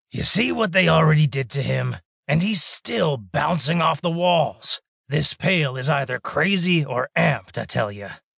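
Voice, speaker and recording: A man puts on a character voice that is raspy, gruff and growling, pitched fairly high. He keeps a moderate pace. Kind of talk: audiobook character voice. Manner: gruff, growling, tough street talk.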